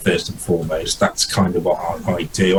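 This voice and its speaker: A man's voice with noticeable background noise. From English East Midlands, near Nottingham. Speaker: indie fantasy author. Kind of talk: interview. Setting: video call from home study. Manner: hesitant, many fillers and repeats.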